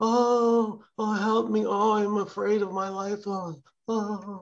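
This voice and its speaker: A put-on character voice, fairly high in pitch, delivers the lines at a fairly slow pace. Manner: wailing, frightened.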